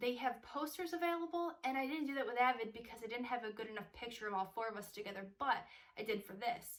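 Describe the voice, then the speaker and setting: Speaking at a very fast pace, a woman with a high pitch uses lively intonation and an animated tone. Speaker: singer-songwriter vlogger. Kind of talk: casual vlog tutorial.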